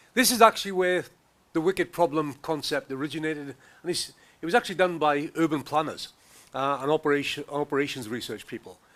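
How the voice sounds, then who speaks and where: Speaking with a Welsh accent, a man uses a fairly high pitch and ordinary pitch variation at a fairly quick pace. The recording is very clean, with a silent background. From Wales. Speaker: professor. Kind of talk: conference talk. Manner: fast.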